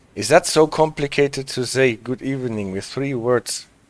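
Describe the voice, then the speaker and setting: At a fairly slow pace, a man with a German accent talks at medium pitch with ordinary pitch variation. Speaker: streamer. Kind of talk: casual, chatting with viewers.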